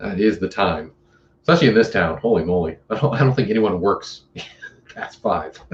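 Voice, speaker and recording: A man's fairly low voice with an American accent, at a fairly quick pace with very wide pitch swings and long, frequent pauses. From US Pacific Northwest. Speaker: outdoor YouTuber. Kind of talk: casual chat.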